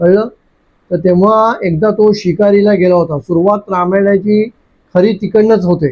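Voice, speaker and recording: A man with a high-pitched voice speaks with fairly even intonation. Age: old. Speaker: storyteller. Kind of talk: storytelling to children. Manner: gentle.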